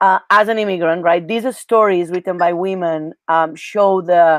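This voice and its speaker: Her voice fairly low with ordinary pitch variation, a woman speaks in a Catalan accent. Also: dry, close sound with no echo, very clean recording, silent background. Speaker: Spanish teacher. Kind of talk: interview.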